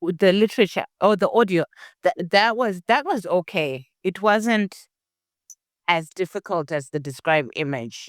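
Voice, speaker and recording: A woman with an African accent speaks at medium pitch and a moderate pace, her intonation lively, on a very clean recording with a silent background. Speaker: test taker who scored top marks. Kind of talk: interview. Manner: halting.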